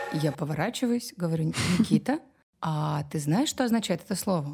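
In a fairly low, somewhat breathy voice with a dark, mellow tone, a woman speaks at a moderate pace with lively intonation. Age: 30s. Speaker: parenting podcast host, mother. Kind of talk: casual chat.

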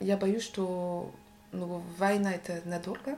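A woman is speaking. Her voice is somewhat breathy. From Brittany, France. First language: French (speaking Russian). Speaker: sociologist. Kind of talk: casual chat. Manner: halting.

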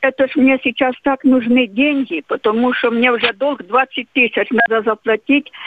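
A high-pitched woman's voice at a fairly slow pace, with very even loudness and ordinary pitch variation. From Crimea. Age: old. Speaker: pensioner caller. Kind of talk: phone-in call. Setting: phone call. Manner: emotional.

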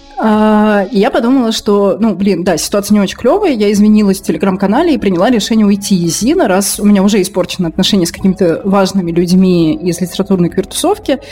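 A woman's medium-pitched voice at a very fast pace, with very even loudness, ordinary pitch variation, hardly any pauses and noticeable background noise. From Russia, Moscow. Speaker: journalist and blogger. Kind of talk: casual interview chat.

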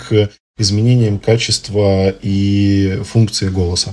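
This voice has a dark, mellow tone and is somewhat breathy. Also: man. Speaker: ENT doctor. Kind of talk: expert interview.

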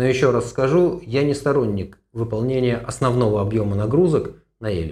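With lively intonation and a somewhat breathy, dark, mellow tone, a man speaks at a moderate pace and a medium pitch. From Russia, Moscow. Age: 60s. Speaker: running coach and physician. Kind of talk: podcast Q&A.

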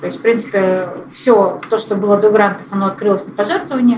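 Delivered at a moderate pace with ordinary pitch variation, the speech has long, frequent pauses over noticeable background noise. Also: woman. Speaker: parkrun co-founder and organizer. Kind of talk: casual interview chat. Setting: recorded live in person with the host.

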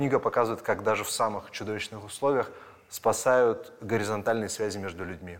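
A man with a plain, everyday voice speaks at a fairly quick pace and a medium pitch, his intonation fairly even. The recording is very clean, with a silent background. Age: 30s. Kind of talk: casual interview.

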